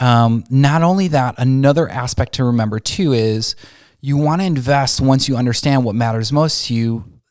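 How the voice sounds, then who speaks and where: The recording is very clean, with a silent background. A man talks at a medium pitch with ordinary pitch variation. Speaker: wedding photographer and videographer business owner. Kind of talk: informational client video. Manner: fast.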